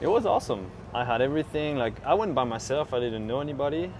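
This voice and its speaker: There is noticeable background noise. A man talks at a medium pitch. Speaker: farm supply business owner. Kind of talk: casual interview chat. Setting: outdoors at a farm show.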